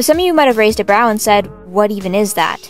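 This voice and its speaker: A woman talks at a very fast pace in a fairly high pitch, her intonation lively, with music playing in the background. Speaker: digital artist and art commentary YouTuber. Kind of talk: casual commentary over speedpaint. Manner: stuttering, unscripted.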